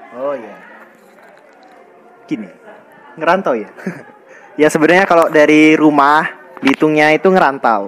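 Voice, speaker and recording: Against noticeable background noise, a man speaks at a moderate pace with long, frequent pauses. His pitch is fairly high, with ordinary variation. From Indonesia, Bangka (born in Bantul, Yogyakarta). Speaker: university student. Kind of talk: casual interview. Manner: hesitant, many fillers.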